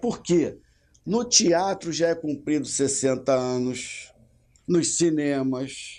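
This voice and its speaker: The voice has a dark, mellow tone and moves at a very slow pace. The background is quiet. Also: man. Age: 60s. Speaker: state legislator. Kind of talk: interview.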